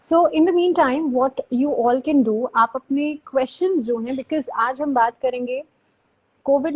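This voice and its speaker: A speaker talks at a fairly slow pace with lively intonation. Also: woman. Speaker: YouTube host. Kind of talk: live stream interview. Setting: live video call. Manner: code-switching Hindi and English.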